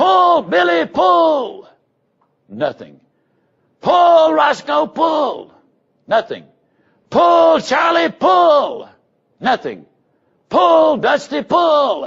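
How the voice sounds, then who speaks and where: A put-on character voice shouts at a very slow pace with very wide pitch swings and very even loudness. Long pauses come often. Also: man, extremely high pitch for a man. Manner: very loud, shouting.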